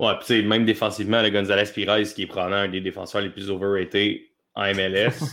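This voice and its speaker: A man with a fairly low pitch talks at a fairly quick pace, his intonation monotone and flat. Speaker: soccer columnist. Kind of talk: casual chat.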